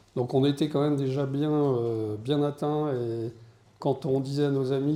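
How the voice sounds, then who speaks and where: A man's medium-pitched voice, dark and mellow in tone, comes out monotone and flat with audible room echo. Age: 60s. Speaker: deacon and media business owner. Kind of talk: conference talk. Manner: hesitant, many fillers.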